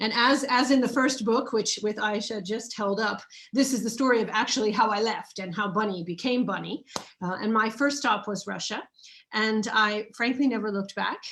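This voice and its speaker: A woman in an American accent, fairly high-pitched, at a moderate pace with fairly even intonation. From United States. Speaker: author. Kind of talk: live online book launch interview. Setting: live video stream.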